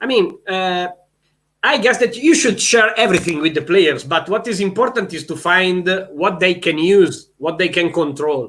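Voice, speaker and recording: On a very clean recording with a silent background, a man with a high voice for a man talks at a moderate pace with lively intonation. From Italy. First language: Italian. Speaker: volleyball head coach. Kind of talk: interview. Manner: halting.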